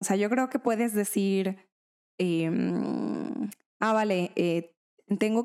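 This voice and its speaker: Recorded very cleanly against a silent background, a woman with a dark, mellow tone speaks at a fairly slow pace with ordinary pitch variation. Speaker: podcast co-host. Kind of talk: casual chat.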